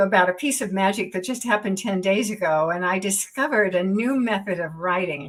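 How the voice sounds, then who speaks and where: A woman with a bright, sharp tone talks at a moderate pace, her medium pitch showing ordinary variation. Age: 80s+. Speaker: author and speaker. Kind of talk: online event talk.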